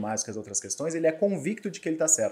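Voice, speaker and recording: A man speaks in a dark, mellow tone with vocal fry. His pitch swings very widely. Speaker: lawyer and law professor; lawyer, law professor. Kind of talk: podcast interview. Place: studio. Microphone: studio mic.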